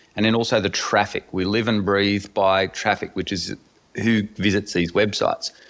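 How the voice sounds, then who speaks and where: In an Australian accent, a man talks at a moderate pace and a fairly low pitch. His intonation is monotone and flat. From rural Australia. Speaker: entrepreneur. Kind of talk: interview.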